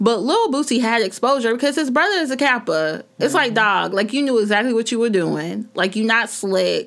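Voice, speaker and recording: Using a normal speaking voice, a woman talks at a fairly quick pace with fairly high pitch and lively intonation. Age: 30s. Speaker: podcast co-host. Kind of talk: casual chat.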